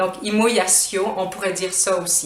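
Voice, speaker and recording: Over noticeable background noise, a woman talks at a medium pitch. She has a Quebec accent. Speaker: French teacher. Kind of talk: language lesson to camera.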